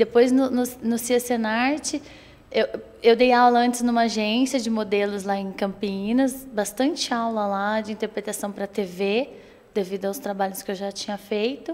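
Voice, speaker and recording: With a São Paulo interior accent, a woman speaks at a moderate pace using fairly even intonation. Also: fairly high pitch for a woman. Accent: Pinhal (São Paulo interior). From Brazil, São Paulo state interior (Espírito Santo do Pinhal area). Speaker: actress and theater teacher. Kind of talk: interview.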